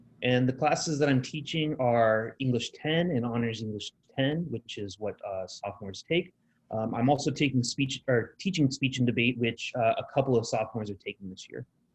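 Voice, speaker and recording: A somewhat breathy man with an American accent, medium in pitch with ordinary pitch variation, at a fairly quick pace, in a dry, close sound with no echo. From Southern California. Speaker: high school English teacher. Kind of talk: presentation to parents.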